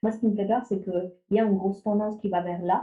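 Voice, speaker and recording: A woman speaks at a fairly quick pace with a slight non-native accent, her medium pitch and intonation staying fairly even. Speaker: AI ethics researcher. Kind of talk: panel discussion. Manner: hesitant, many fillers and restarts.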